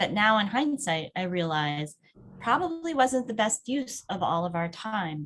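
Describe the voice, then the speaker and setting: A woman talks in an unremarkable speaking voice. Her intonation is lively. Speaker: webinar presenter. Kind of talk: webinar presentation.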